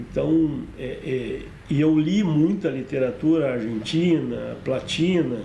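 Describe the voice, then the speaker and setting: A man is speaking. Noticeable background noise and audible room echo are present. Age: 60s. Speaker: film director. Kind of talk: monologue about own career. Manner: hesitant, with fillers.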